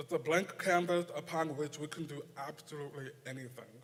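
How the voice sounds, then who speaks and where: A man with an American accent speaks at a moderate pace. His pitch is fairly high. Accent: deaf. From Nebraska. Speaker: poetry contest judge. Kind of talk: prepared speech.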